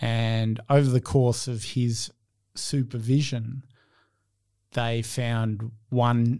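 Over a very clean recording with a silent background, a man speaks with an Australian accent, a dark, mellow tone and fairly even intonation. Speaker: entrepreneur, founder of an innovation consultancy. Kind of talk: interview.

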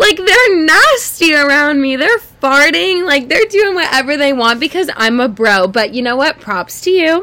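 A woman's raised, projected voice, high in pitch with very wide swings, at a moderate pace over noticeable background noise. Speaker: podcast co-host. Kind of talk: casual chat. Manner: animated.

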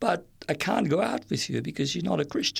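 Speaking at a fairly quick pace, a man with a fairly high pitch and vocal fry comes through on a very clean recording with a silent background. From Nigeria (Kano), Lebanese parents. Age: old. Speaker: retired churchgoer. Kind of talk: testimony. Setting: studio. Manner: halting.

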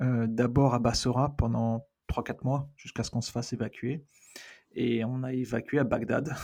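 At a fairly slow pace, a man speaks in a medium pitch with a dark, mellow tone and monotone, flat intonation. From raised in many countries (diplomat family), born in Argentina. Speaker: researcher and NGO director. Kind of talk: casual interview chat.

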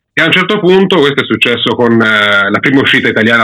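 Using a normal speaking voice, a man talks at a fairly quick pace and medium pitch with lively intonation. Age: 30s. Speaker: manga YouTuber, former comics student. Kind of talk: casual interview chat.

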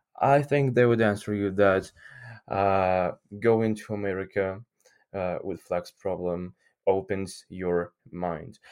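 Over a quiet background, a man with a Ukrainian accent and a fairly low pitch speaks at a very slow pace with ordinary pitch variation. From Ukraine. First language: Ukrainian or Russian. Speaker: English teacher. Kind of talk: interview. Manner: halting.

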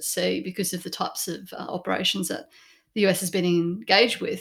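Recorded very cleanly against a silent background, the speaker talks at a fairly quick pace with an Australian accent. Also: woman. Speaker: podcast host. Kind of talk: interview hosting.

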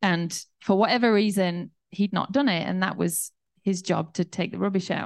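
Over a quiet background, a woman in a normal speaking voice talks at a moderate pace, medium in pitch, with fairly even intonation. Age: 40s. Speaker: pastor. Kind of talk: sermon.

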